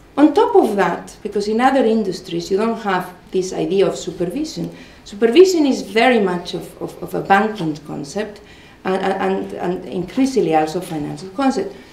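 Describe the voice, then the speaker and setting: This woman speaks at a moderate pace with lively intonation and a medium pitch. Audible room echo surrounds her voice. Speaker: law professor. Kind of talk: conference talk. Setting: conference with audience. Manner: repetitive false starts.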